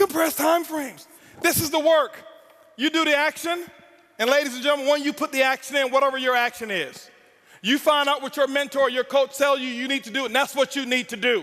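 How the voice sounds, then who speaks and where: A man's raised, projected voice at an extremely high pitch, intense with a bright, sharp tone, fairly even intonation and a fairly quick pace. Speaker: network marketing speaker. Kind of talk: motivational speech. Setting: stage with audience. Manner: loud.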